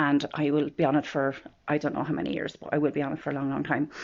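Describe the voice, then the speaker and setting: A woman with a strong Irish midlands accent talks at a very fast pace in a very deep, low pitch. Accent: strong rural Irish midlands. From Ireland, Offaly. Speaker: vlogger. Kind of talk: personal vlog about mental health. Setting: filming at home in bedroom. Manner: casual, hesitant with fillers.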